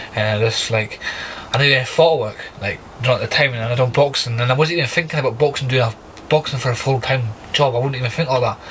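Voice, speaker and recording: Over noticeable background noise, a man speaks at a very fast pace with a medium pitch and fairly even intonation. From Scotland, Aberdeen. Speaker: professional boxer. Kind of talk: podcast interview. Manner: halting, many fillers.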